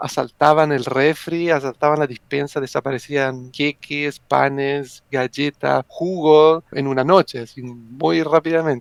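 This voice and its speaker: Speaking with an Italian accent, a man keeps a fairly high pitch and fairly even intonation at a fairly slow pace with hardly any pauses, recorded dry and close with no echo. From Italy. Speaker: psychologist and wargamer. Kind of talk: podcast interview.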